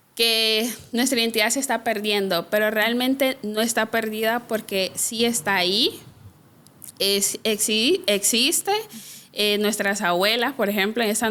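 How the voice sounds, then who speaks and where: Keeping a very even loudness, a woman speaks at a fairly slow pace with a fairly high pitch, a bright, sharp tone and fairly even intonation. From Honduras, Trujillo, Colón (Garifuna community). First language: Garifuna (speaking Spanish). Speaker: social worker and activist. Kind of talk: interview conversation. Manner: hesitant, many fillers.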